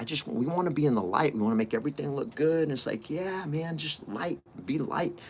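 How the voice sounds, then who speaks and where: A man in an animated tone at a fairly quick pace. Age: 50s. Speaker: real estate coach and podcaster. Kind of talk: motivational monologue.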